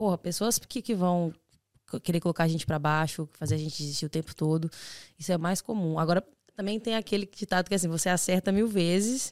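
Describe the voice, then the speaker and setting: A woman with an ordinary speaking voice talks at a fairly quick pace, her pitch fairly low with ordinary variation. The sound is dry and close, with no echo. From Brazil, Belo Horizonte. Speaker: podcast co-host, exchange student. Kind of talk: casual chat.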